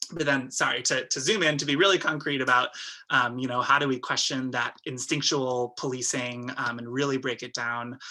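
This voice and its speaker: A man speaks in a bright, sharp tone. His intonation stays fairly even. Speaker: abolitionist community organizer. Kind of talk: webinar panel discussion. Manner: fast; hesitant, many fillers.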